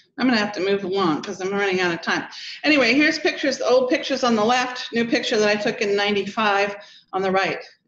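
At a very fast pace, a woman with a fairly high pitch speaks with ordinary pitch variation, and the room echo is audible. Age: 60s. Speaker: daughter of a polar explorer, speaker. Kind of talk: lecture. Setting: stage with audience.

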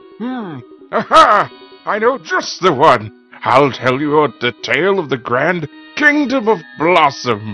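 In a put-on character voice with very wide pitch swings, the speaker goes at a fairly slow pace while faint music plays in the background. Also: man, fairly high pitch for a man. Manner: warm, storytelling.

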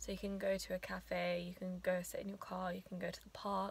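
At a fairly quick pace, a woman speaks in a dry recording with no echo. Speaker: new dentist vlogger. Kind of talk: casual vlog chat. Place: car. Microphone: phone near.

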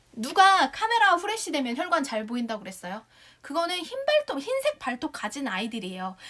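A woman's raised, projected voice sits high in pitch, with very wide pitch swings, big swings in loudness and a fairly quick pace. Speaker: shopping show host. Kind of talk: live sales pitch. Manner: animated. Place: home room. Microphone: lapel.

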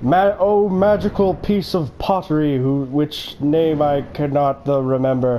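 The speaker uses a put-on character voice at a fairly slow pace, with hardly any pauses. Background noise comes through clearly. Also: man, fairly high pitch for a man. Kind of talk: formal, stilted phrasing. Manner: stilted, formal.

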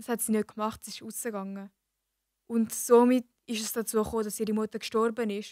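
Fairly high in pitch yet dark and mellow in tone, a woman speaks fairly quickly with monotone, flat intonation and big swings in loudness. The background is quiet and the sound is dry, with no echo. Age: young. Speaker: apprentice; podcast guest or co-host. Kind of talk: casual chat. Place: studio. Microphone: studio mic.

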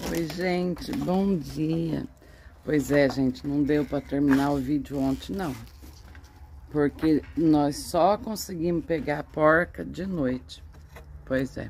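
Over light background noise, a woman speaks at a very slow pace with long, frequent pauses. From Brazil. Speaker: vlogger, smallholder; vlogger. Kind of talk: casual vlog talk to camera. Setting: outdoors on a farm. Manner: animated. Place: farm. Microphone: phone near.

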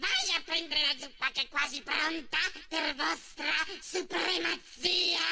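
There is clear background noise behind this recording. A man does a put-on character voice at an extremely high pitch. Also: fairly slow pace. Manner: grumpy, later fawning and nervous.

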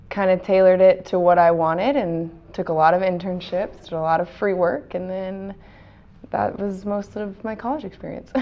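A woman's voice shows ordinary pitch variation and big swings in loudness. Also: moderate pace. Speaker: local sports reporter and weekend sports anchor. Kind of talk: interview answer. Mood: relaxed, friendly, smiling. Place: studio. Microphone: lapel.

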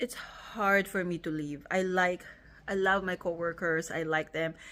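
Her pace is fairly slow and her pitch medium for a woman. The recording is very clean, with a silent background. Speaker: nurse and family vlogger. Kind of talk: casual vlog talk.

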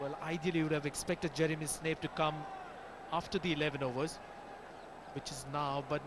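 A man speaks in an animated tone at a fairly high pitch. Noticeable background noise runs underneath. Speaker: cricket commentator. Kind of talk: live sports commentary. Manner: brisk, fluent, animated play-by-play.

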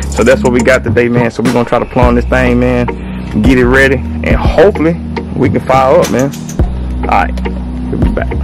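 A man talking at a fairly quick pace over clear music in the background. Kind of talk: tutorial. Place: street. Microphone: phone near.

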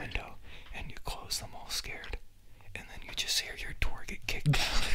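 A man whispers at a moderate pace. His loudness swings a lot. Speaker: ASMR creator. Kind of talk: ASMR story time ramble with a friend. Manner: soft-spoken, whispery. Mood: playful, joking. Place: home room. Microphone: studio mic.

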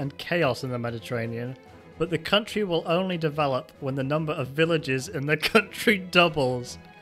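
A man at a fairly quick pace with lively intonation, music in the background. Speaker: comedy narrator. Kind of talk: comedic narration reading text.

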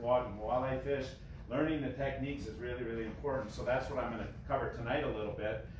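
Audible room echo and noticeable background noise are present throughout. A man races through his lines at a very fast pace. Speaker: guest. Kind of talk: informal talk to an audience. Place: garage. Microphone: camera far.

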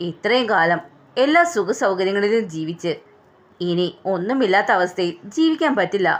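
Lively intonation in a natural reading voice

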